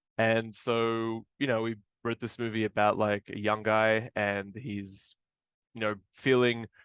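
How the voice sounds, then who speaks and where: Against a quiet background, a man with a fairly low pitch speaks with an Australian accent. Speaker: film director. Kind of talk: interview. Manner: casual, many fillers.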